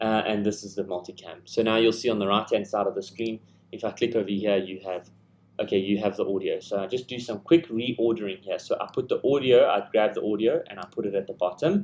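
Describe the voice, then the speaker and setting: This man's voice sits fairly low in pitch. He speaks at a fairly quick pace with fairly even intonation. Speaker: video editor. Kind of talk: tutorial. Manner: fast.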